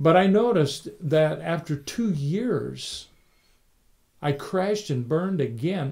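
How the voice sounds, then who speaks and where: This man speaks at a fairly slow pace with lively intonation and a fairly high pitch, somewhat breathy. His tone is warm, dark and mellow, over a quiet background. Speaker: pastor. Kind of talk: sermon. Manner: warm, conversational; earnest, teaching.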